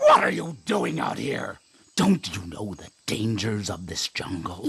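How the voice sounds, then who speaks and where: In a put-on character voice, a man speaks at a fairly low pitch and a fairly slow pace. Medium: read story. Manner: calm, measured, wise.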